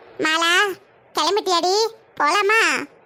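In a cartoonish character voice, a woman speaks at an extremely high pitch with fairly even intonation. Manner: gossipy, colloquial.

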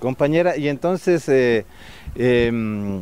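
Lively intonation from a man, dry sound with no echo. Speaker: radio host. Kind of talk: live radio broadcast chat. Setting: outdoors. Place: market.

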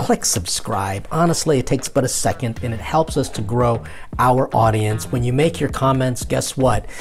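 Light background noise sits behind a man speaking at a moderate pace. His intonation is lively. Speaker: priest show host. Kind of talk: casual vlog chat. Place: home room. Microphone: lapel.

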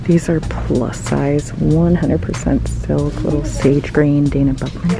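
Clear music plays in the background of this dry recording with no echo, where the speech moves at a fairly slow pace. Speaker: thrift vlogger. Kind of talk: casual vlog chat. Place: shop. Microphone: phone near.

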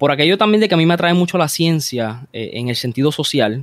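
A man delivers his words at a moderate pace, his intonation lively. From Puerto Rico, Bayamón. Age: young. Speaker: police officer and columnist. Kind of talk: interview conversation. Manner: halting, repeats words.

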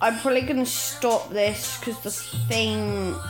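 Clear music fills the background. Over it, a woman talks. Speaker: vlogger. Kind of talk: casual vlog chat. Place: home room. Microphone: phone near.

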